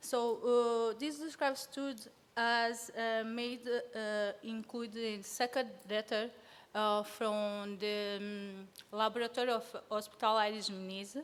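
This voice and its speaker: A woman with a Portuguese accent and fairly even intonation. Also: fairly high pitch for a woman, fairly slow pace. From Sao Tome and Principe. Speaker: field epidemiology student. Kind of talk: conference presentation. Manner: halting.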